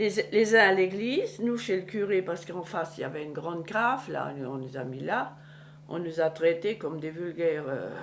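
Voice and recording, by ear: A woman with a fairly low pitch speaks with lively intonation. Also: moderate pace.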